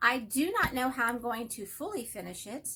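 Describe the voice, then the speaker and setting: Raising and projecting her voice, a woman with a Texas accent speaks at a moderate pace in a bright, sharp tone, her pitch swinging very widely. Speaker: hobby vlogger. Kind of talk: casual chat. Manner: rambling, self-interrupting.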